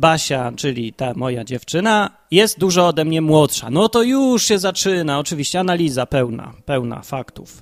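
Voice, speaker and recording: A man with a fairly high pitch and lively intonation speaks at a moderate pace in a very clean recording with a silent background and a dry, close sound with no echo. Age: 30s. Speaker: Bible podcast host, layman. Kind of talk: casual personal monologue. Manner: improvised, with fillers and hesitations.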